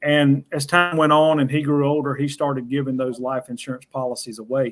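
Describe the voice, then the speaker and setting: Intonation stays fairly even in this voice with a Southern US accent. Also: man. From US South. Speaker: financial educator on whole life insurance. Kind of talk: panel discussion.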